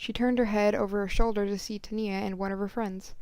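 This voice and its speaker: Fairly even intonation from a woman with a medium pitch, at a fairly quick pace. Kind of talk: story reading. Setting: home recording. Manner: halting, uneven breathing.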